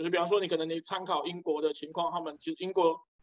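A man with a high pitch and fairly even intonation is heard in a dry, close sound with no echo. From Malaysia, Penang (primary school in Taiwan). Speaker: doctor. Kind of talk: casual discussion.

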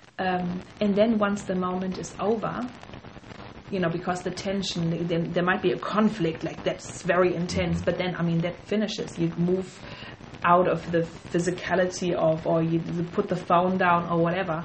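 Against noticeable background noise, a woman with a fairly low pitch speaks at a moderate pace in a monotone, flat intonation. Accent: German. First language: German. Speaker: podcast co-host. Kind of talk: casual chat.

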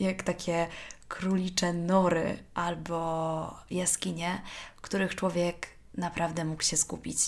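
Vocal fry with fairly even intonation. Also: woman. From Poland, Warsaw. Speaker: podcast host. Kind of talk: solo podcast monologue. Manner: conversational.

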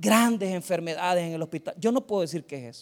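Talking comes very fast from a man. Recording quality is very clean, and the background is silent. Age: 40s. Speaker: pastor. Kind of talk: sermon.

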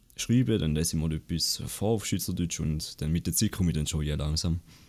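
A man with a Swiss German accent, very deep and low in pitch, with ordinary pitch variation at a very fast pace. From Switzerland, Appenzell. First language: Swiss German (speaking German). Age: under 20. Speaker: Twitch streamer and student. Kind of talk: casual interview. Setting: online call.

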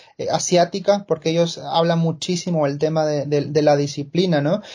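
A man at a high pitch with a dark, mellow tone, talking at a moderate pace in a monotone with flat intonation. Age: 30s. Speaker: marketer and amateur runner. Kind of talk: podcast interview.

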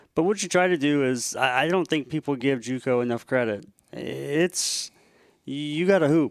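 With ordinary pitch variation, an ordinary speaking voice proceeds at a moderate pace. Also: man, fairly high pitch for a man. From Washington State, Tri-Cities. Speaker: college basketball coach. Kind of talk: interview. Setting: on a college campus.

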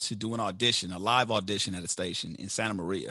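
Over a quiet background, a man with an American accent speaks in a bright, sharp tone. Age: 30s. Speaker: radio host. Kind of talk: interview conversation.

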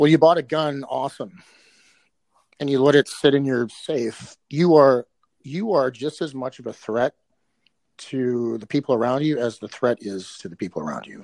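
A man at medium pitch with an Upper Midwest accent, moderate pace, ordinary pitch variation and big swings in loudness, in a dry, close sound with no echo. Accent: Upper Midwest American. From Minnesota, South Minneapolis. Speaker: tactical and martial arts trainer. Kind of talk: casual interview.

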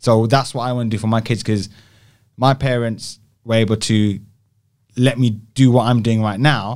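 With a London accent, a man speaks at medium pitch in a monotone, flat intonation, taking long, frequent pauses, in a very clean recording with a silent background. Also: moderate pace. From West London (Southall), England. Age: 40s. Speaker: brand design agency founder. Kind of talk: casual interview.

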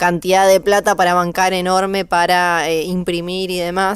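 At a moderate pace, a woman of medium pitch speaks with monotone, flat intonation. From Tierra del Fuego, Argentina. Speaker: radio co-host. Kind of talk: casual chat.

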